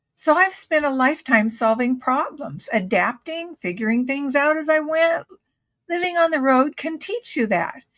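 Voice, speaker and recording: A woman with a high pitch and lively intonation at a fairly slow pace. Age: 70s. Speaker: full-time RVer. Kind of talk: reflective talk to camera.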